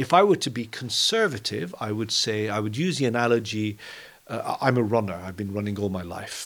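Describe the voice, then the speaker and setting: A man with an ordinary speaking voice talks at a fairly quick pace, at medium pitch with ordinary pitch variation. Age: 60s. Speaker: quantum computing company founder. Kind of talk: interview.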